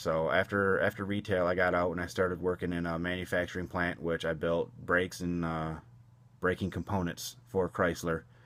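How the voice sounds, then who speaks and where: With an American accent, a man speaks at a fairly quick pace in a very deep, low pitch, his intonation monotone and flat, on a very clean recording with a silent background. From US Midwest, Michigan (Port Huron, near Detroit). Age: 30s. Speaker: college student. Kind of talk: self-introduction. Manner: hesitant, with many fillers.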